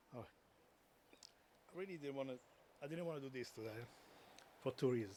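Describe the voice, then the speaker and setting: A man with a non-native accent talks at a very fast pace in a dark, mellow tone, his pitch varying in an ordinary way, broken by long, frequent pauses. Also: medium pitch for a man. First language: not English. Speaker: eulogy speaker, friend of the deceased. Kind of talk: eulogy. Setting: memorial service.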